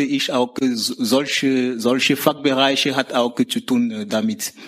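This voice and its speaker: Over noticeable background noise, a man speaks slowly-ish at a fairly high pitch with ordinary pitch variation. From Cameroon. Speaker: university dropout, now in vocational training. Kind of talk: interview. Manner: halting.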